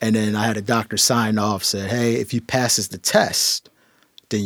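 A man with an American accent speaks at a moderate pace in a fairly low pitch, in a plain, everyday voice. The sound is dry and close, with no echo. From Philadelphia, US. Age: 30s. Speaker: city councilman. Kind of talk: interview.

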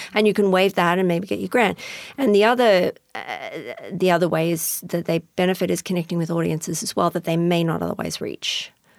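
Fairly quick speech with vocal fry, ordinary pitch variation and an Australian accent. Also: woman, fairly low pitch for a woman. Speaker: former arts critic. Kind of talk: interview. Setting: studio.

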